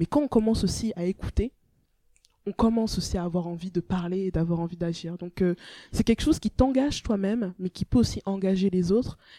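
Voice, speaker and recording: The woman's pitch varies in an ordinary way. She has a dark, mellow tone. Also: medium pitch for a woman. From France, Brittany (Rennes), born in Togo. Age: 20s. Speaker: law and philosophy student, children's rights activist. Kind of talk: interview. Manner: eloquent, confident.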